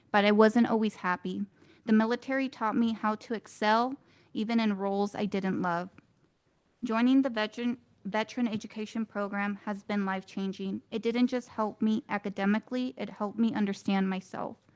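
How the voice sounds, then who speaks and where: A woman speaks in a normal speaking voice, fairly high in pitch, at a fairly quick pace. Her intonation is fairly even, and the sound is dry and close with no echo. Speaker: student veteran. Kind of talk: prepared speech. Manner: formal.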